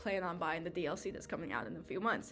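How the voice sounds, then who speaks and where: A woman's voice with music in the background. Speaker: college student. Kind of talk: class speech, casual game lore retelling. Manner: casual, chatty.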